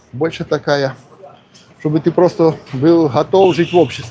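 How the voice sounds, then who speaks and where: A man's fairly high-pitched voice at a moderate pace, over noticeable background noise. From Polesie region, Ukraine–Belarus border. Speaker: vlogger. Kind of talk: live stream casual talk. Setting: outdoors on a walk. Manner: casual, conversational.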